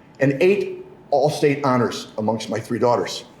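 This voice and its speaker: With an American accent, a man talks at a moderate pace with lively intonation and a somewhat breathy voice, and audible room echo. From Michigan. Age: 60s. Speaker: politician. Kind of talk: press conference speech.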